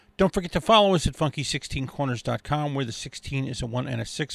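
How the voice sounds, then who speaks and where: A man's fairly high voice with ordinary pitch variation, dry and close with no echo, in a very clean recording with a silent background. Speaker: radio host. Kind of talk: radio show hosting, music commentary. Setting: radio studio broadcast. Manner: casual, enthusiastic, laid-back.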